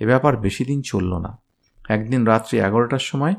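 Someone gives a plain reading aloud against a quiet background.

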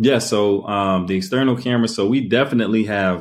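Here is a man with an ordinary speaking voice and ordinary pitch variation. He keeps a moderate pace against a quiet background. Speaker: business owner and arbitrage operator. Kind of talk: casual interview.

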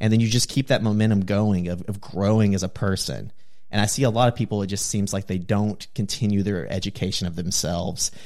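With a plain, everyday voice, a man talks at a fairly quick pace, his fairly low pitch held in fairly even intonation. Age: 30s. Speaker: influencer. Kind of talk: casual chat.

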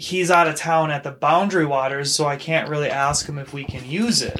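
This man has a fairly high pitch and keeps a moderate pace. It is a normal speaking voice. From Minnesota. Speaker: podcast host. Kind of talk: casual chat. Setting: home studio.

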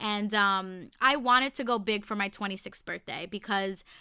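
Loud and animated, a woman with an American accent speaks fairly slowly in a fairly high pitch with a bright, sharp tone. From New York City, the Bronx. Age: 20s. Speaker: podcast host. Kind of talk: casual monologue.

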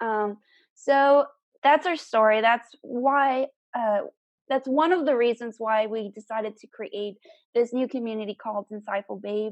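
A woman with an American accent uses an ordinary speaking voice at a fairly high pitch, showing ordinary pitch variation, big swings in loudness and a moderate pace. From South Texas. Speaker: podcast co-host. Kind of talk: casual chat.

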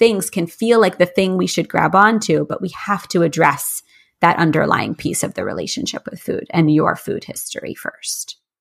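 A woman with a fairly low pitch and ordinary pitch variation talks at a moderate pace in a normal speaking voice, on a very clean recording with a silent background. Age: 40s. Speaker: health coach. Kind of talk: interview.

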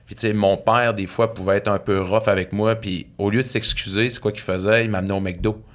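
This very clean recording has a silent background. A man speaks at a moderate pace in an unremarkable speaking voice. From Saguenay, Quebec. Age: 40s. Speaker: author and speaker. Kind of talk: casual interview, personal storytelling.

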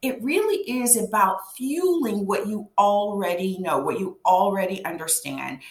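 Against noticeable background noise, a woman with a medium pitch and lively intonation talks at a moderate pace. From Louisiana, Cajun. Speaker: business coach. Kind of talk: interview. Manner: halting with fillers.

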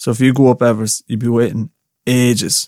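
A man with an Irish accent, medium pitch, monotone, flat intonation and a fairly quick pace. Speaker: podcast host. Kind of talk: casual solo chat. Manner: casual, chatty.

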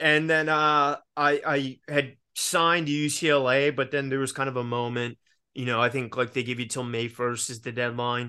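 A man's medium-pitched, bright, sharp voice with an American accent, moderate pace, fairly even intonation, hardly any pauses, and a quiet background. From US South, Richmond, Virginia. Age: 30s. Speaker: actor and podcast host. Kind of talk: casual chat. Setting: video call.

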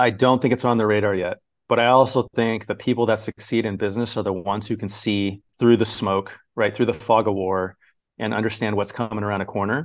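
A man with an ordinary speaking voice talks at a fairly quick pace and fairly low pitch. His intonation is fairly even, and the background is quiet. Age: 40s. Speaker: gym software founder and gym owner. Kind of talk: interview conversation.

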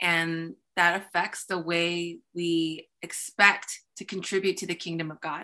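A woman's fairly slow, monotone delivery, flat in intonation, with a bright, sharp tone and big swings in loudness. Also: fairly low pitch for a woman. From US (Korean-born, moved at three to four). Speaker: pastor and speaker. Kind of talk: interview.

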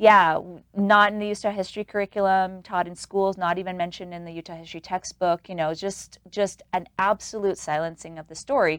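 With an American accent and a plain, everyday voice, a woman speaks at a fairly quick pace with hardly any pauses, fairly even intonation and big swings in loudness, on a very clean recording with a silent background. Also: medium pitch for a woman, dry, close sound with no echo. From New York City. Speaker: small business owner. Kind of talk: interview.

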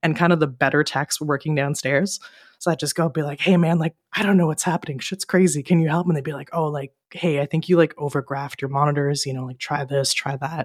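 A very fast pace in a Canadian accent, fairly even intonation, hardly any pauses, and a dry, close sound with no echo. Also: woman, very deep, low pitch for a woman. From Ottawa, Canada. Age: 30s. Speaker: live sound engineer. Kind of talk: casual chat.

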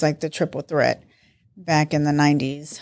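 The recording is very clean, with a silent background. A woman with an American accent speaks at a very deep, low pitch. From US East Coast (New York and Baltimore). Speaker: host's mother, football fan. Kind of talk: casual chat.

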